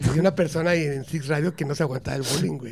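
This man's voice sits fairly high, with ordinary pitch variation and some vocal fry. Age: 50s. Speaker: comedian. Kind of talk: casual chat.

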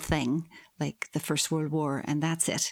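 This woman has a Northern Irish accent. She talks at a moderate pace. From Northern Ireland. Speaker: history professor. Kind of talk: interview. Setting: remote call from her office.

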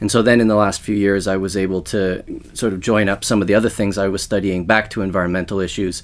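In a Canadian accent, a normal speaking voice moves at a fairly quick pace with fairly even intonation. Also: man. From Western Canada. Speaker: sociology professor. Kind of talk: interview.

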